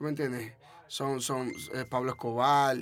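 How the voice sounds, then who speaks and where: A man with a Dominican accent, medium in pitch and monotone in flat intonation, on a very clean recording with a silent background. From Dominican Republic. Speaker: trap artist. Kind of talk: casual interview.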